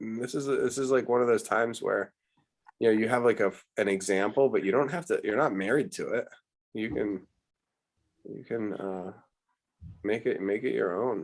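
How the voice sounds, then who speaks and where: At a moderate pace, a man with a medium pitch speaks, leaving long, frequent pauses. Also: ordinary pitch variation. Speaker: art teacher. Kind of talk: online art lesson. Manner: animated.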